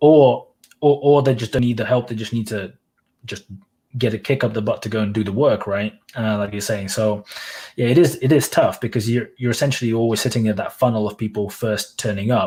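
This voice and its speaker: The voice is somewhat breathy. The recording is very clean, with a silent background. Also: man. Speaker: YouTuber and blogger. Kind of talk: casual chat. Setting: livestream. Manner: monotone.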